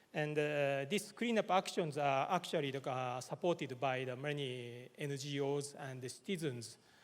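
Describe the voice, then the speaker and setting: A Japanese accent at a moderate pace. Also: man. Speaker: government official. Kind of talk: conference presentation. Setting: conference hall. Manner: halting, many filler words.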